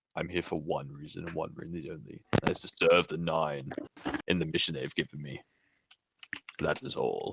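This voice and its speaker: Putting on a character voice, a man sounds strained, with a very deep, low pitch, speaking at a moderate pace with long, frequent pauses. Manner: solemn, dutiful.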